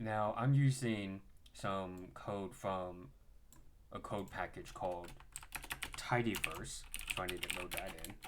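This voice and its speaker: Very slowly, a man speaks at a fairly low pitch with long, frequent pauses. There is audible room echo and noticeable background noise. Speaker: data science instructor. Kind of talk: coding tutorial. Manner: monotone.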